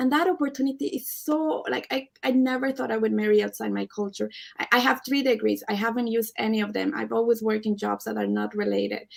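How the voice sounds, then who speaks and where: A woman speaks with a strong Spanish accent. Her pace is very fast. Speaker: Canadian immigrant panelist. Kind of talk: live panel debate.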